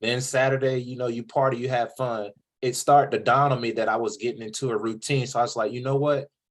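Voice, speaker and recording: In a Southern US accent, a man speaks very fast at a medium pitch, keeping his intonation fairly even. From US South, coastal North Carolina (Jacksonville). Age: 30s. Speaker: podcast host, author on college vs trade. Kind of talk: interview. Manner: casual, conversational.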